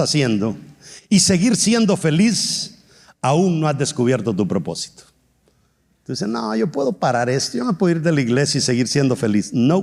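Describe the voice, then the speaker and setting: Using vocal fry, a man speaks at a moderate pace with very wide pitch swings. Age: 60s. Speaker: pastor. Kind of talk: sermon.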